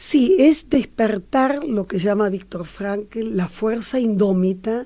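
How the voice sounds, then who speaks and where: A woman speaks at a very slow pace with lively intonation. Her fairly high pitch has a dark, mellow tone. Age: 70s. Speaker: social worker and logotherapist. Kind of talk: interview.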